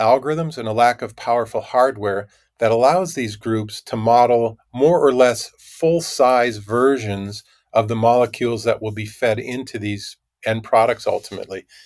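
Someone with an American accent and an unremarkable speaking voice talks at a moderate pace with ordinary pitch variation in a very clean recording with a silent background. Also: man. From US Midwest, Minnesota. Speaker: tech company CEO. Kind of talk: interview.

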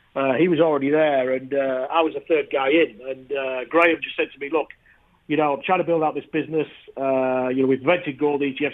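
Very fast and fairly even in intonation, a man with a fairly high pitch talks in a northern English accent. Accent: northern English, noticeable. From northern England. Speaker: ETF industry founder. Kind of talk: interview. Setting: phone call from London.

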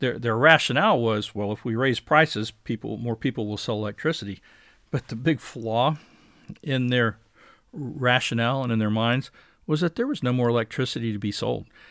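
An American-accented man with an ordinary speaking voice talks at a fairly quick pace and medium pitch, using ordinary pitch variation on a very clean recording with a silent background. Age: 60s. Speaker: podcast host. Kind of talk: casual commentary.

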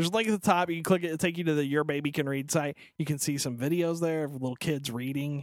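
The speech moves at a very fast pace. It has hardly any pauses. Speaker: podcast co-host, parent. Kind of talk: casual chat.

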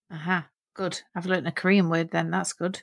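A woman's fairly low-pitched, unremarkable speaking voice on a very clean recording with a silent background. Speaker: linguist and podcast host. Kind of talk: podcast interview.

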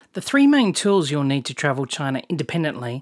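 A woman with a very deep, low pitch and an Australian accent, in a very clean, dry, close recording with a silent background and no echo. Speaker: travel podcast host. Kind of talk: scripted narration.

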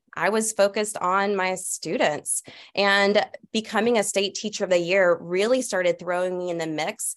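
A woman has a normal speaking voice at a medium pitch. She talks at a moderate pace. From US South, Atlanta. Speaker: teacher. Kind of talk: casual chat.

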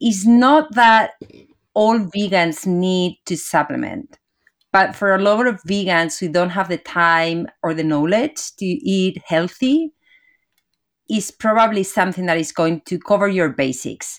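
With lively intonation and medium pitch, a woman speaks at a fairly slow pace on a very clean recording with a silent background. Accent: Spanish. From Spain, Madrid. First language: Spanish. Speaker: entrepreneur, company founder. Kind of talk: interview.

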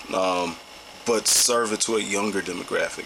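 Here is a man with a St. Louis accent. Noticeable background noise runs behind him. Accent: St. Louis Midwestern US. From St. Louis, Missouri. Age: 30s. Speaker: music producer and education program co-founder. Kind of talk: casual interview.

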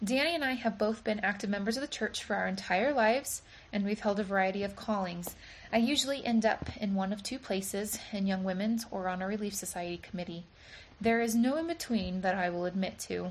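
Somewhat breathy, a woman with an American accent talks at a fairly quick pace. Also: medium pitch for a woman, ordinary pitch variation. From Virginia and Michigan, US. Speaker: church member giving a talk. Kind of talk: recorded church talk; casual interview.

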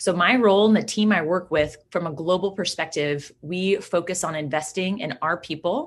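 Over a quiet background, a woman speaks at a moderate pace with a Midwestern American accent. Her pitch is medium, with ordinary variation. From Kansas. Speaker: agribusiness professional. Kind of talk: interview. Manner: animated.

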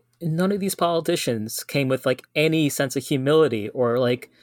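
An ordinary speaking voice from a man with fairly high pitch and ordinary pitch variation moves at a fairly quick pace, captured on a very clean recording with a silent background and a dry, close sound with no echo. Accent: American. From New York City, Guyanese community. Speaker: activist, vigil attendee. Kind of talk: casual chat.

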